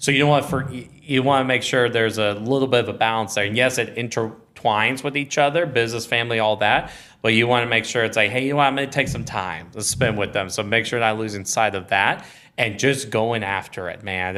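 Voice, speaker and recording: A man speaks loudly with a Texan accent, his tone bright and sharp at a medium pitch. His pace is fairly quick, with hardly any pauses. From Texas, small town outside Austin. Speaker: podcast guest, businessman and father. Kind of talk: casual interview chat. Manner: loud, energetic.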